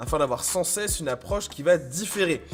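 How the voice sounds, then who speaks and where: Noticeable background noise sits under the voice. The speaker keeps a moderate pace with lively intonation. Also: man. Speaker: gaming video host. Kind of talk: scripted news roundup.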